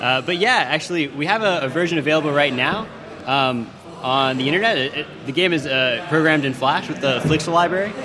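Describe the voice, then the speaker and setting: With an American accent, a man speaks with ordinary pitch variation. Noticeable background noise and audible room echo are present. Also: fairly quick pace. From United States. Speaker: indie game developer. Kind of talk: interview on live radio. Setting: live radio broadcast from a conference venue.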